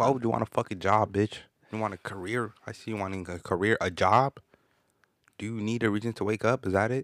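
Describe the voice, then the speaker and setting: A man's fairly low, relaxed voice at a fairly quick pace, fairly even intonation, dry and close with no echo, on a very clean recording with a silent background. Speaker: podcast host. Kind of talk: casual banter, profane comedy chat. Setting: podcast recording. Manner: relaxed, joking.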